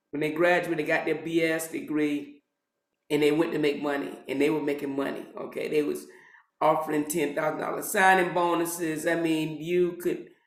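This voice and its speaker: A man speaks at a fairly high pitch and a moderate pace with monotone, flat intonation. Audible room echo surrounds the voice. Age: 60s. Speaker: pharmacist and retired pharmacy professor. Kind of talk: interview. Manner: many fillers and repetitions.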